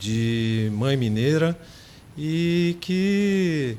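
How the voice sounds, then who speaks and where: A man's voice with noticeable background noise. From São José dos Campos, São Paulo state, Brazil. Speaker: doctor. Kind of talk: interview.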